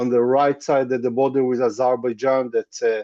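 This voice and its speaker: In an Israeli accent, a man speaks at a medium pitch with a dark, mellow tone. The sound is dry and close with no echo, over a quiet background. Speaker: tour guide. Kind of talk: webinar presentation. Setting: video call. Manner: halting, many fillers.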